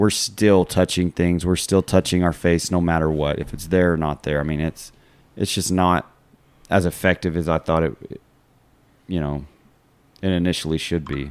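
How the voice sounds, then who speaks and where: A man with a West Texas accent talks at a moderate pace, his very deep, low pitch held in fairly even intonation. The sound is dry and close with no echo, on a very clean recording with a silent background. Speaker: podcast host, school coach. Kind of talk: casual chat.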